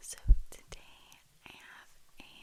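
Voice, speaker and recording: A woman whispers at a very slow pace. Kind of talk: ASMR snack rambling. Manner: soft-spoken.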